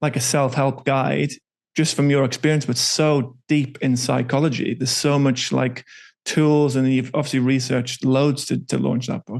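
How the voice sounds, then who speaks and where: The speaker talks at a moderate pace in a flat, monotone delivery against a quiet background. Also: man, medium pitch for a man. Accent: northern English. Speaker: podcast host. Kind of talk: podcast interview.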